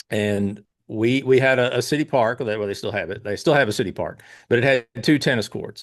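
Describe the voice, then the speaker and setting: A man with a Kentucky accent speaks at a fairly quick pace in a medium pitch. His pitch variation is ordinary, and the background is quiet. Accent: Kentucky Southern US. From Pulaski County, Kentucky. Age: 50s. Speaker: tennis coach and tournament founder. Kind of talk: casual interview.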